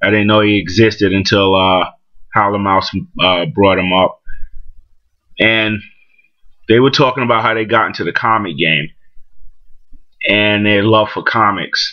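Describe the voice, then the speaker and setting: In a New York accent, a man talks at a moderate pace with a fairly low pitch and fairly even intonation. He takes long, frequent pauses. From Brooklyn, New York. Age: 40s. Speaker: comic book collector vlogger. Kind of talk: casual vlog monologue. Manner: halting, many fillers.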